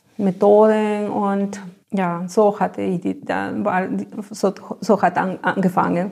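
In a Spanish accent, a woman speaks very slowly at a medium pitch with a dark, mellow tone. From Peru, Ayacucho (Andes). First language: Spanish (speaking German). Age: 40s. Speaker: biotechnology lab technician. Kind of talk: interview. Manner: halting.

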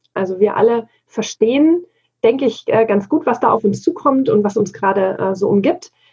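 A woman with a fairly high pitch talks at a moderate pace in a dark, mellow tone that is somewhat breathy. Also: lively intonation. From Bavaria, Germany. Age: 40s. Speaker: digital work consultant. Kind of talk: interview conversation.

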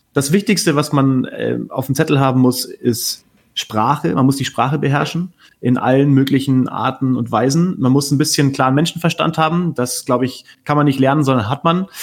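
A man's normal speaking voice, fairly high-pitched, with ordinary pitch variation at a moderate pace. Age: 30s. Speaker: TV sports journalist. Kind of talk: casual chat.

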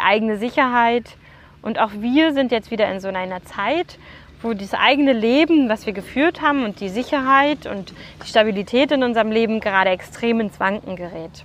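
A woman at a fairly high pitch and moderate pace, with ordinary pitch variation and noticeable background noise. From Germany. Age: 30s. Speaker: podcast host, event support entrepreneur. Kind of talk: solo monologue podcast. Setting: outdoors in a park.

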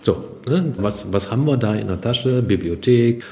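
A man, in an ordinary speaking voice, delivers his words fairly slowly, his pitch varying in an ordinary way. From Germany, western Münsterland (Kreis Borken). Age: 60s. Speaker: business association representative. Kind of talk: podcast interview.

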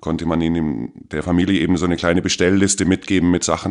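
Over a quiet background, a man with a very deep, low voice talks at a moderate pace with fairly even intonation. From Bavaria, Germany (Grafing near Ebersberg). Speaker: streetwear retail worker. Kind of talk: casual interview.

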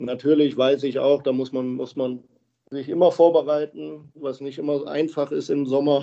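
A fairly slow, monotone male voice, fairly high in pitch, with a dark, mellow tone and flat intonation. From Germany, Krefeld (Lower Rhine). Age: 30s. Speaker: professional ice hockey player. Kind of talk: interview. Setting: remote call from home. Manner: halting.

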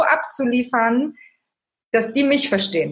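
A woman with a high voice talks at a fairly slow pace. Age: 30s. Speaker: author and life coach. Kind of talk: interview.

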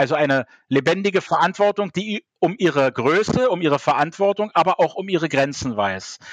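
With ordinary pitch variation, a man speaks in a high pitch, the sound dry and close with no echo. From Berlin (West Berlin). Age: 50s. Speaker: party official and theologian. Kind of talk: interview. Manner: hesitant with fillers.

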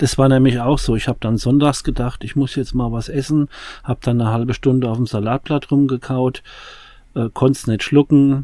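In a flat, monotone delivery, a man speaks fairly quickly with a dark, mellow tone at a medium pitch, captured in a very clean recording with a silent background. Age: 40s. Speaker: addiction recovery podcast host. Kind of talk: casual chat.

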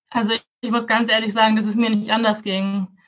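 Her pitch fairly high, a woman talks in a monotone, flat intonation. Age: 20s. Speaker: Pinterest consultant and coach. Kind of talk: podcast interview.

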